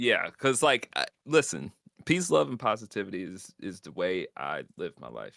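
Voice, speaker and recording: Recorded dry and close with no echo, a man talks at a moderate pace. His loudness swings widely. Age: 20s. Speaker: streamer and content creator. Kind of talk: casual chat. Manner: casual, animated.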